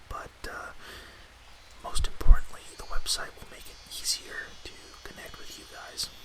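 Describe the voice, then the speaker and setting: Whispering at a fairly slow pace in a calm tone, the voice comes through over noticeable background noise. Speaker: ASMR podcast host and storyteller. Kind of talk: podcast host intro to camera. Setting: ASMR podcast recording. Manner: whispered, soft-spoken, calm.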